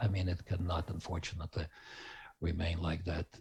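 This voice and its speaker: A man speaks in a dark, mellow tone that is somewhat breathy. The background is quiet. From Ukraine. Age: 60s. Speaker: Ukrainian interviewee. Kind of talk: remote interview. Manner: halting.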